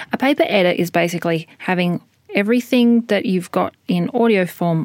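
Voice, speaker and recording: A woman with an Australian accent, medium pitch, moderate pace and ordinary pitch variation, in a dry, close sound with no echo. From Western Australia (Albany). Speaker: radio documentary producer. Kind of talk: interview.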